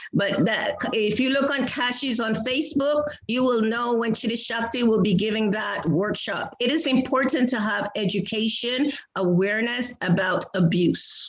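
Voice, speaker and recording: Noticeable background noise is present. The pace is moderate. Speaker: workshop co-host. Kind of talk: panel discussion.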